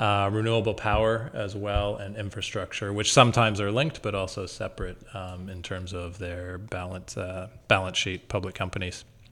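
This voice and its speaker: An unremarkable speaking voice with a Canadian accent, fairly even intonation, big swings in loudness, hardly any pauses and a moderate pace. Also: man, fairly low pitch for a man. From Canada, Toronto. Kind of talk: interview. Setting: office building in Toronto.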